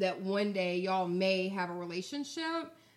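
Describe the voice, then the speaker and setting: A woman with a medium pitch talks at a moderate pace, with noticeable background noise behind her. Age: 30s. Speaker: podcast guest. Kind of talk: casual chat.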